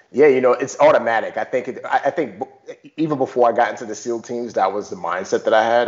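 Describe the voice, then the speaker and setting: A man with an American accent at a fairly quick pace, ordinary pitch variation, and noticeable background noise. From Bronx, New York City. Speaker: former navy special forces, author and actor. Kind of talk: interview.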